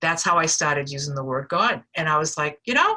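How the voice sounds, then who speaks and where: A woman with a Boston accent at a fairly quick pace. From Boston, US. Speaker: recovery speaker sharing experience. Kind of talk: personal testimony. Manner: casual, conversational with fillers.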